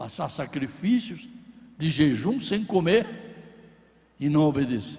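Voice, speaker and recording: A man speaks at a very slow pace in a fairly high voice with vocal fry and very wide pitch swings. Long, frequent pauses break up his speech, and room echo is audible. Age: 80s+. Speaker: pastor. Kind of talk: sermon. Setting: church.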